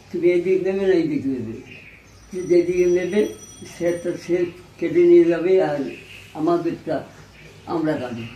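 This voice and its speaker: A man's high voice with ordinary pitch variation, amid noticeable background noise. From East Bengal (now Bangladesh). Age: 80s+. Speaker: Partition refugee. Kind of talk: personal reminiscence, interview answer.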